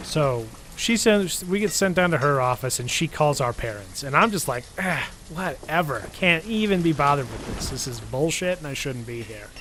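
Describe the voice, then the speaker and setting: Amid noticeable background noise, a man with an American accent speaks at a moderate pace with lively intonation and a fairly high pitch. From Michigan, US. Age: 20s. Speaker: YouTuber. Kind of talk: casual storytelling. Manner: mellow.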